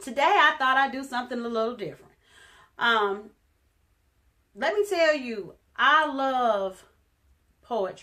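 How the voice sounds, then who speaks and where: Speaking in a raised, projected voice, a woman with a high pitch and a bright, sharp tone moves at a fairly slow pace with long, frequent pauses. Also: lively intonation. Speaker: spoken word poet. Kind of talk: casual talk to camera.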